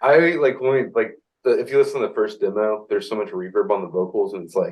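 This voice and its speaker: A loud man talking at a very fast pace. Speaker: rock band singer and guitarist. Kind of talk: casual interview. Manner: halting.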